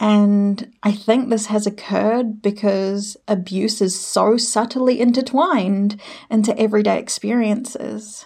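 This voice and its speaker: Speaking fairly slowly in a New Zealand accent, a woman has a fairly high, somewhat breathy voice with a dark, mellow tone and fairly even intonation. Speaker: healer and emotion therapist. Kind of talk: solo podcast monologue.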